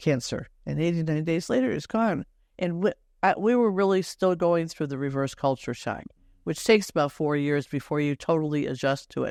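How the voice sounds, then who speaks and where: With an American accent, a woman speaks at a moderate pace in a very deep, low voice. Her intonation is lively, and the background is quiet. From Detroit, Michigan. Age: 70s. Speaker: retired missionary. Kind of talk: podcast interview.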